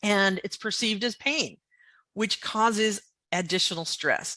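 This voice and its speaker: Against a quiet background, a woman speaks at medium pitch in a bright, sharp tone. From New England. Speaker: veterinary technician. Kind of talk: lecture. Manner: hesitant with many fillers.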